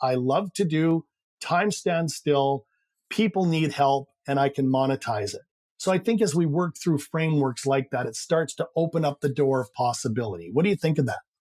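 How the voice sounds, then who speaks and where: At a moderate pace, a man speaks with fairly high pitch and ordinary pitch variation, the sound dry and close with no echo. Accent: slight Canadian. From Canada. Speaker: high-performance coach. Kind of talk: interview.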